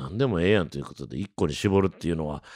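The voice has a bright, sharp tone and very wide pitch swings. The recording is very clean, with a silent background and a dry, close sound with no echo. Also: man. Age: 40s. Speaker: jazz trumpeter. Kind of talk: casual monologue. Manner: animated; frequent fillers.

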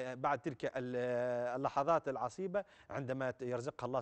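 Over a quiet background, a man speaks at medium pitch with ordinary pitch variation. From Tunisia. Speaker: religious scholar answering callers; caller. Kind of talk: call-in religious Q&A. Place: studio. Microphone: lapel.

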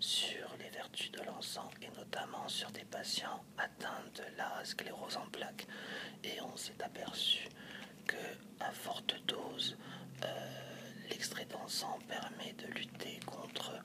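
A soft-spoken whisper at a very slow pace, with noticeable background noise behind it. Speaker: presenter. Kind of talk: tutorial. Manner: soft ASMR whisper, explaining.

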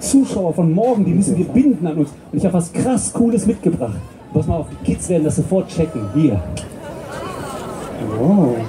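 Speaking at a moderate pace with long, frequent pauses, a man swings his pitch very widely over noticeable background noise. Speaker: stage comedian. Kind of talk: comedy stage patter. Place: stage.

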